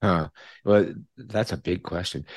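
In a Canadian accent, a man with a very deep, low pitch and vocal fry speaks at a moderate pace, the sound dry and close with no echo over a quiet background. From Canada. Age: 60s. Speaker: retired psychology professor. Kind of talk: interview. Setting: remote call.

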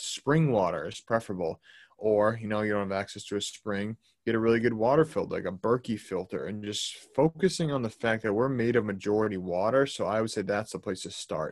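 The delivery comes at a fairly quick pace. It is an unremarkable speaking voice, with ordinary pitch variation. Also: man. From Boston, Massachusetts. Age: 20s. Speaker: holistic health coach. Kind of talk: casual interview.

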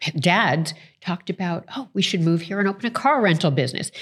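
On a very clean recording with a silent background, a woman with an American accent and an unremarkable speaking voice talks at a moderate pace with fairly low pitch. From Toronto, Canada (also New York). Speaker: entrepreneur and author. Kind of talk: interview.

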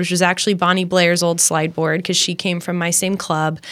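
Fairly low in pitch, a woman speaks with a Midwestern American accent. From US Midwest, Champaign-Urbana, Illinois. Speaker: Olympic athlete and mindset coach. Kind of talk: interview.

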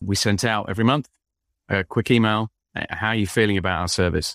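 The speaker talks at a very fast pace in an English accent. The sound is dry and close with no echo, on a very clean recording with a silent background. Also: man. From England, London. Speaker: business founder and author. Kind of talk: podcast interview.

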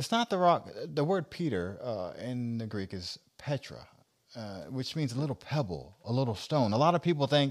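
With an unremarkable speaking voice, a man at a medium pitch talks at a moderate pace with lively intonation on a very clean recording with a silent background. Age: 40s. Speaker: minister and podcast host. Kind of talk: casual religious discussion. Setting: studio, also streamed live on social media.

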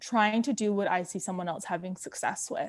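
At a fairly quick pace, a woman with an unremarkable speaking voice talks at a medium pitch with fairly even intonation, on a very clean recording with a silent background. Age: 30s. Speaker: social media agency founder. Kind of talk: casual interview.

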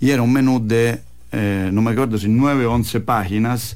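Here a man speaks in a Roman Italian accent. His pitch sits in the medium range. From Italy, Rome. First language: Italian (speaking Spanish). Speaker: Italian restaurant owner. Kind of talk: radio interview. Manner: halting, mixes Italian into Spanish.

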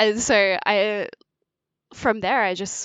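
This woman talks with an Australian accent. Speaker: writer and Japanese teacher. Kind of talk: casual chat. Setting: remote recording studio.

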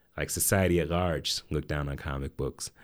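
A man with an American accent, very deep and low in pitch, at a moderate pace, on a very clean recording with a silent background. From US South, Atlanta. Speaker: comic book writer and professor. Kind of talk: casual interview.

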